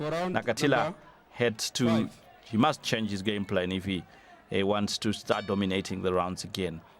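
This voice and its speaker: Speaking at a moderate pace, a man has a fairly low pitch and an ordinary speaking voice. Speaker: boxing commentator. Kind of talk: live sports commentary.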